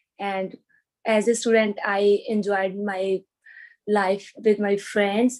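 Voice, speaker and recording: The voice is dark and mellow, delivered in a flat monotone. The pace is very slow. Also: woman. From India. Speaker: IELTS test candidate. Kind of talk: mock speaking exam interview. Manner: halting.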